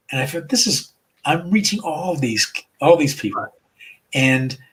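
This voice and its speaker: With an American accent, a somewhat breathy man speaks at a moderate pace with lively intonation. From US Northeast, Providence, Rhode Island. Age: 70s. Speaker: comedian and rabbi. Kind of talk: interview. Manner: halting, many repeated words.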